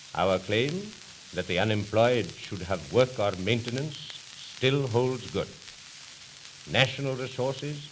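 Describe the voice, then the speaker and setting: A man's medium-pitched voice at a fairly slow pace, with ordinary pitch variation and noticeable background noise. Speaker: politician, party leader. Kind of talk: political campaign speech. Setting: old 1929 recording.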